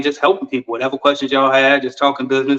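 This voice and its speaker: A man is speaking here. His voice sits at a medium pitch. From Virginia, US. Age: 30s. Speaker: cleaning business consultant. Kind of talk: casual live stream chat. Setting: live stream. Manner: animated.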